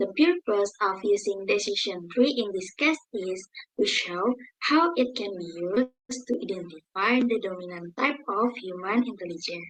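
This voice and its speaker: Someone with an Indonesian accent speaks at a moderate pace with lively intonation. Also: woman, medium pitch for a woman. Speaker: university student presenter. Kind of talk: class presentation.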